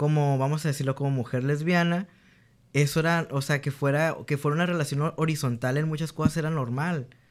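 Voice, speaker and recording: Fairly high-pitched, a man talks at a fairly quick pace with fairly even intonation. The recording is very clean, with a silent background. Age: 20s. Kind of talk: casual chat. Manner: halting.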